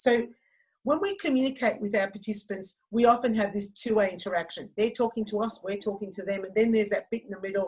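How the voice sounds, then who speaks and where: Very fast and somewhat breathy, a woman speaks at medium pitch with fairly even intonation. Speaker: fitness instructor and trainer. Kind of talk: online training presentation.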